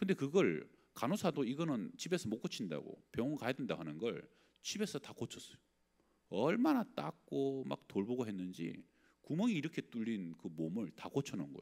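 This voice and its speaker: The man's voice carries vocal fry, with very wide pitch swings and big swings in loudness. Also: medium pitch for a man, moderate pace. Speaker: pastor. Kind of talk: sermon. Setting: church. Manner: conversational.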